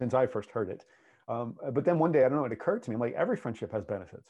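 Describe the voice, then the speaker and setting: Speaking in an ordinary speaking voice with an American accent, a man uses lively intonation at a medium pitch. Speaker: podcast co-host and relationship coach. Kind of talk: casual podcast conversation. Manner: laughing, playful.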